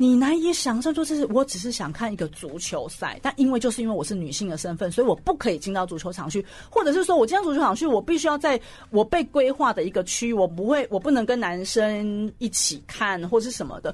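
Very fast and with hardly any pauses, a woman speaks at a fairly high pitch with very wide pitch swings. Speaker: sports journalist and columnist. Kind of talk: radio interview. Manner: loud.

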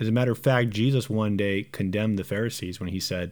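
In a Southern California accent, a man speaks with a fairly low pitch. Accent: American English, Southern California. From Southern California, Romanian immigrant family. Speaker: pastor. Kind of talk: casual discussion.

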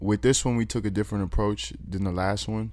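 On a very clean recording with a silent background, a man with an American accent speaks in an unremarkable speaking voice. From Austin, Texas (south side). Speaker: rapper. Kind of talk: casual interview chat.

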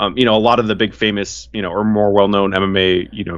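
This is an unremarkable speaking voice moving at a fairly quick pace. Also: man. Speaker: MMA podcast host. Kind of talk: casual chat.

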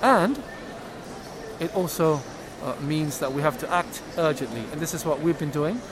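A man talks with a fairly high pitch and ordinary pitch variation, keeping a moderate pace while noticeable background noise sits behind him. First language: Spanish. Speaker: science minister official. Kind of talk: interview. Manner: hesitant with fillers.

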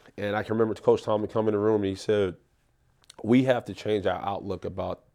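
Fairly quick, fairly low-pitched speech from a man with a New York accent and a dark, mellow tone, against a quiet background. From New York, South Bronx. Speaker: professional football player. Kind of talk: casual chat. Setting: studio.

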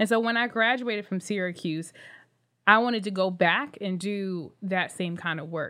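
A woman talks at a moderate pace in a normal speaking voice. The background is quiet. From Philadelphia. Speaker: podcast host and founder of career organization. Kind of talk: casual chat.

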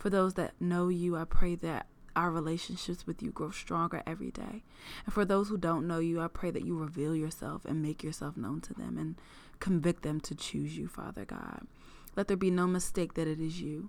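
Delivered at a moderate speed, a normal speaking voice carries ordinary pitch variation. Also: woman, fairly low pitch for a woman. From US Maryland, Prince George's County. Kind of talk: solo faith podcast with a closing fervent prayer. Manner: fervent, earnest, warm, prayerful; upbeat and chatty in intro.

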